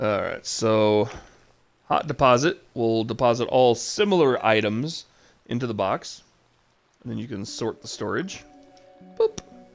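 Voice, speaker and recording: Music plays behind a man who speaks at a fairly slow pace with ordinary pitch variation. He leaves long, frequent pauses. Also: medium pitch for a man. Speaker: gaming streamer. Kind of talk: live gameplay commentary. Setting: home livestream. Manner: casual, with many fillers.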